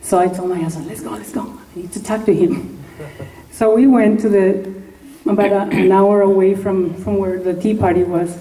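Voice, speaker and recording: A woman speaks at a moderate pace and medium pitch, with ordinary pitch variation and big swings in loudness. Noticeable background noise and audible room echo fill the recording. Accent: Spanish. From Mexico. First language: Spanish. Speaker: congressional candidate. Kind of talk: campaign speech. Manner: animated.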